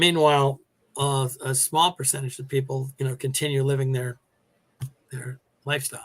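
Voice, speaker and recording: Somewhat breathy and monotone, a man with an American accent talks at a moderate pace and medium pitch, leaving long, frequent pauses. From New York. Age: 60s. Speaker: retired teacher. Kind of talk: interview. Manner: conversational, with fillers.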